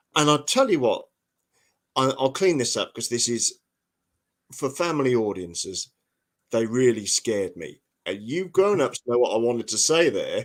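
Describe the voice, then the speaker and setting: With a Norfolk accent, a man speaks at a moderate pace and a medium pitch, his intonation lively. He leaves long, frequent pauses in a very clean recording with a silent background. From England, Norfolk. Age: 50s. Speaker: historian and author. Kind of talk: podcast interview. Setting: live podcast. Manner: animated.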